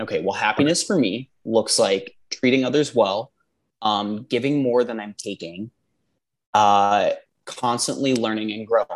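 A man with a Midwestern American accent speaks at a fairly slow pace in a medium-pitched voice. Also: ordinary pitch variation. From Indiana. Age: 20s. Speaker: dietetics graduate student. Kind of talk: casual conversation. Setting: Skype call.

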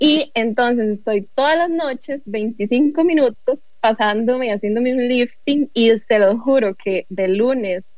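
A woman talks in an unremarkable speaking voice at a fairly slow pace. Her pitch is fairly high, with ordinary variation. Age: 20s. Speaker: entrepreneur, honey producer. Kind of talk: casual chat.

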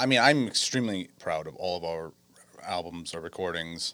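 A man speaks in a very deep, low pitch with ordinary pitch variation. His tone is bright and sharp. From Westerly, Rhode Island. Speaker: drummer. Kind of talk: casual interview. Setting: studio.

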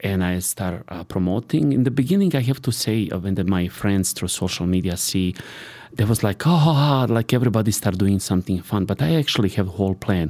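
A man with a Serbian accent speaks at a fairly low pitch. His pace is fairly quick and his intonation lively. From Serbia (born in Sarajevo, Bosnia). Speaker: private chef. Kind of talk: casual interview. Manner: halting.

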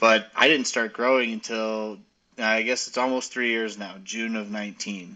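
With an American accent, a man talks at a moderate pace in a medium pitch, his intonation flat and monotone. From Arizona, US. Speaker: cannabis entrepreneur and author. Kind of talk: casual interview.

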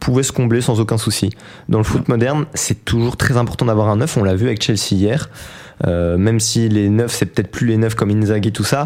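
Very even loudness and ordinary pitch variation at a fairly quick pace, with noticeable background noise. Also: man, medium pitch for a man. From Belgium, province of Namur. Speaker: football pundit. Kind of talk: radio sports talk show.

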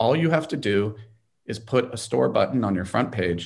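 A man talks with a Californian accent and ordinary pitch variation. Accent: General American (California). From Los Angeles. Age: 50s. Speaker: lawyer and entrepreneur. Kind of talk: interview.

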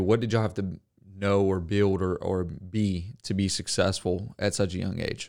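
Very clean, with a silent background, this recording has a man speaking with a Southern US accent. His fairly low voice keeps a moderate pace and fairly even intonation. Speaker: podcast host. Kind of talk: interview. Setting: studio.

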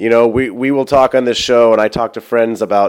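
A man speaks fairly quickly, and the recording is very clean with a silent background. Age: 30s. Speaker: podcast host and self-improvement coach. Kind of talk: solo podcast monologue. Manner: animated.

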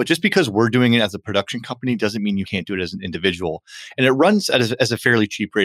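In a very clean recording with a silent background and a dry, close sound with no echo, a man talks at a very fast pace. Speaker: podcast host and podcast studio co-founder. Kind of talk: casual chat. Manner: fast when excited; animated.

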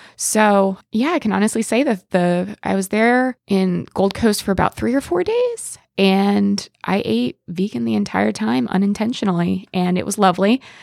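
Speaking with an American accent in a plain, everyday voice, a woman at medium pitch uses lively intonation at a moderate pace with hardly any pauses, on a very clean recording with a silent background and a dry, close sound with no echo. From Pennsylvania, small town. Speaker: exchange program participant. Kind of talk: storytelling anecdote.

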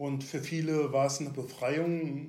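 A man's very slow delivery with fairly even intonation. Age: 60s. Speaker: retired police officer. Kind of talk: interview about personal mental health experience. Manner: halting, many fillers.

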